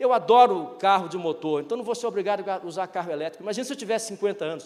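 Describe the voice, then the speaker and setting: A man at a high pitch, very fast pace and animated tone, with ordinary pitch variation. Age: 60s. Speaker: retired business executive, speaker. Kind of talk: keynote talk.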